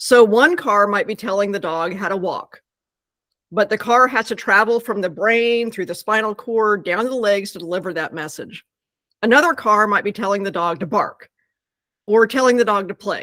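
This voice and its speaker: A woman's fairly high voice, bright and sharp in tone, with ordinary pitch variation. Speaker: scientist and pet product company co-founder. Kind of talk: interview explanation. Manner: fast.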